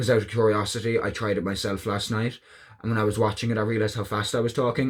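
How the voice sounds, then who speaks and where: This is a man's voice. His pitch is fairly low. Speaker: tarot card reader. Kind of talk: tarot reading video. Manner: fast; casual with fillers.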